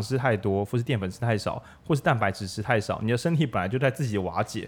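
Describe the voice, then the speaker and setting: The speech comes very fast with lively intonation on a very clean recording with a silent background. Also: man. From Changhua, Taiwan. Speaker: bookstore radio host. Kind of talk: casual book discussion. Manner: animated.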